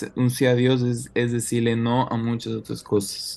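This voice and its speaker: A man speaks at a medium pitch in a dark, mellow tone. His intonation stays monotone and flat. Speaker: church youth leader in training. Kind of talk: interview. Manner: halting, many repetitions.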